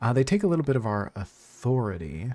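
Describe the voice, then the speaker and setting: Backed by music, a man talks with lively intonation. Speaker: vtuber game streamer. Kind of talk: live game stream commentary. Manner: fast.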